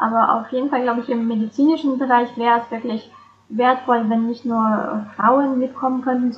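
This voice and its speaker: Moderately paced speech from a woman, fairly high in pitch, with fairly even intonation. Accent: Russian. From Russia (St. Petersburg). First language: Russian (speaking German). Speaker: interpreter and translator. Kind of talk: interview.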